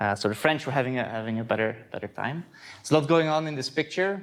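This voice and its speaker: In a Dutch accent, a man speaks with ordinary pitch variation. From Netherlands, Voorburg (South Holland). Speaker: astronomy lecturer. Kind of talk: conference talk. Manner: hesitant, many fillers and repeats.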